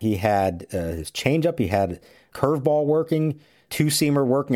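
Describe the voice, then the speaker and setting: Heard in a very clean recording with a silent background, a man uses an ordinary speaking voice at a moderate pace with lively intonation. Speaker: baseball reporter. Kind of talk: sports analysis chat. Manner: measured, conversational.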